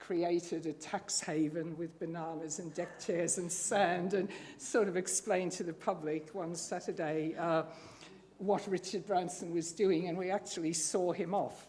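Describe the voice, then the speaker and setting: In a dark, mellow tone, a woman with a fairly low pitch talks at a fairly slow pace with monotone, flat intonation. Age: 70s. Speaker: campaigner. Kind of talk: personal story read aloud at a storytelling night.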